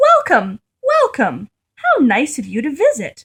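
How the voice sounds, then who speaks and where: A put-on character voice with a warm tone moves at a fairly slow pace. The sound is dry and close, with no echo. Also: woman, high pitch for a woman. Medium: read story. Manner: warm, generous.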